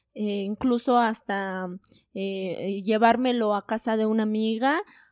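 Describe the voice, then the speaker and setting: A woman's dark, mellow voice in a dry, close sound with no echo. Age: 20s. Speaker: psychologist and online entrepreneur, mother. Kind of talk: casual interview chat.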